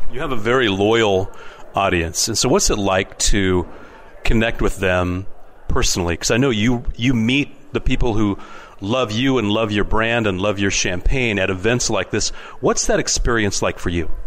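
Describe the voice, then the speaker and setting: With noticeable background noise behind him, a man talks at a moderate pace in a fairly low pitch. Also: ordinary pitch variation. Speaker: wine show host. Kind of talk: radio-style interview show. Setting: on location at a wine festival.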